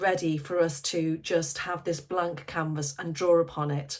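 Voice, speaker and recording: Fairly low in pitch, a woman with a normal speaking voice talks at a moderate pace with fairly even intonation. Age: 50s. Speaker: life coach. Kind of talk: casual talk to camera. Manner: conversational, warm.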